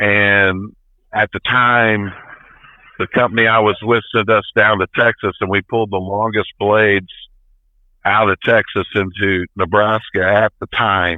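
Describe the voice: Speaking at a fairly slow pace, a man with a fairly low voice keeps his pitch nearly flat, and the sound is dry and close with no echo.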